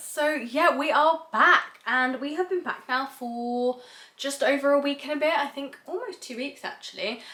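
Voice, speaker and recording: A woman's raised, projected voice sits at a high pitch. She keeps a moderate pace. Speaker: travel vlogger. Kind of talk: casual vlog talk to camera.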